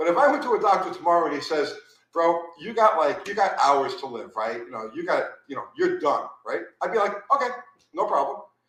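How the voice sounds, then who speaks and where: At a fairly quick pace, a man with an animated tone and big swings in loudness talks amid audible room echo. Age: 50s. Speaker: former nitro drag racer. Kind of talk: casual chat.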